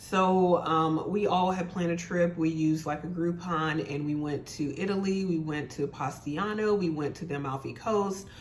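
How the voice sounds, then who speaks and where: This woman's voice sits fairly low, and she talks at a moderate pace with hardly any pauses. Audible room echo surrounds her. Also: fairly even intonation. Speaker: beauty and fashion YouTuber. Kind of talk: casual product review vlog.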